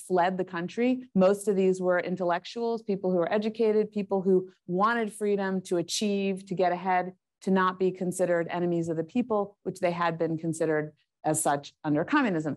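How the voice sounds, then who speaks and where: Her pace is fairly quick, with hardly any pauses. This woman's voice sits at a medium pitch. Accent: American. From US, child of Hungarian immigrants. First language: Hungarian. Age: 50s. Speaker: foreign policy expert, institute director. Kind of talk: talk at a university event.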